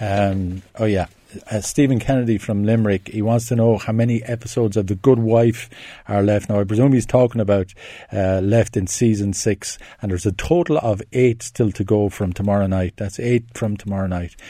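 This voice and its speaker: A man with an Irish accent speaks at a fairly quick pace in a fairly low, dark and mellow voice, his intonation fairly even. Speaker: film critic. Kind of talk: casual radio chat. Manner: talkative, hesitant with fillers.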